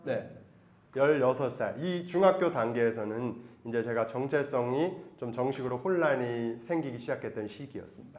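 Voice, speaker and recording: In an ordinary speaking voice, a man talks at a medium pitch and a fairly slow pace with ordinary pitch variation. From Taiwan, raised by Korean missionary parents. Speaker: missionary. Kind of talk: testimony.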